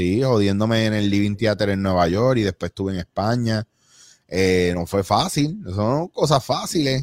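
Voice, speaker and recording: A man with a Puerto Rican accent speaks at a fairly slow pace and fairly low pitch. The recording is very clean, with a silent background and a dry, close sound with no echo. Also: ordinary pitch variation. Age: 40s. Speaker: actor and improv comedian. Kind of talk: casual chat.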